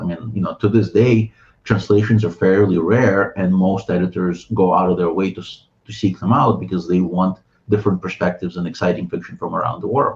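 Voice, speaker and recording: A man speaks at a fairly quick pace with a very deep, low pitch. His voice is somewhat breathy. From Ukraine. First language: Russian. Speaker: writer and translator. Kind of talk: interview conversation. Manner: hesitant, many fillers and restarts.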